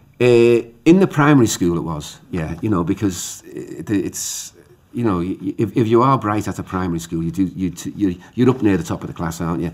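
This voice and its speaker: With a Liverpool accent, the speaker uses lively intonation. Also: man, fairly low pitch for a man. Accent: Liverpool (Scouse). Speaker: playwright. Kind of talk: interview. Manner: halting, repetitive.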